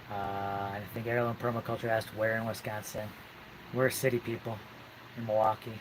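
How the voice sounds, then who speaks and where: A soft-spoken man with a fairly low pitch, monotone, flat intonation, a fairly quick pace, and long, frequent pauses. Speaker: off-grid homesteader. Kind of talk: casual chat. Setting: live stream. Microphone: hand in front of mouth, quiet.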